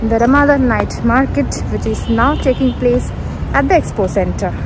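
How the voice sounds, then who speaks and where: At a moderate pace, a woman speaks in a dry sound with no echo, with noticeable background noise. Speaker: vlogger. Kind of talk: casual vlog chat. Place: hall. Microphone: phone near.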